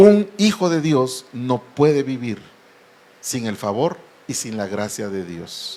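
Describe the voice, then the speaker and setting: This man has a medium pitch and lively intonation. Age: 60s. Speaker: pastor. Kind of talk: sermon.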